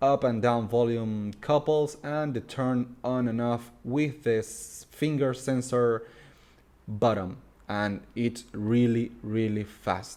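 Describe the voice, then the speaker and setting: A man with a Spanish accent speaks at a very slow pace in a dark, mellow tone. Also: medium pitch for a man. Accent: Spanish-accented English, noticeable. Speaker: tech reviewer. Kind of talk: product review. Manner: halting.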